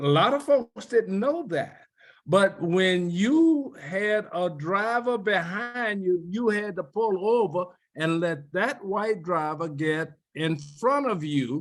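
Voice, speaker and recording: Using a New Orleans accent, a man speaks at a very slow pace and a high pitch with lively intonation. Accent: New Orleans Southern US. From US South, New Orleans. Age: 80s+. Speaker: civil rights veteran. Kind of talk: oral history interview.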